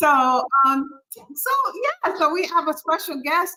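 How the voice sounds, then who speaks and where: The voice is raised and projected, with a bright, sharp tone and very wide pitch swings. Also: woman. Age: 50s. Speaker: podcast host. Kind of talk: casual interview.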